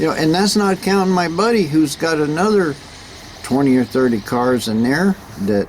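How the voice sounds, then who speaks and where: A man talks at a moderate pace with very wide pitch swings. Noticeable background noise is present. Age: 70s. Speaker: classic car restorer and vlogger. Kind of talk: casual vlog talk. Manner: halting, many fillers and repeats.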